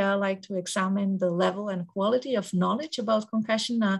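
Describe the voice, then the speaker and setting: Against a quiet background, a woman with a Danish accent speaks fairly quickly in a somewhat breathy, medium-pitched voice with ordinary pitch variation. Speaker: researcher. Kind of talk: conference presentation. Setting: conference symposium. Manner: halting, many filler words.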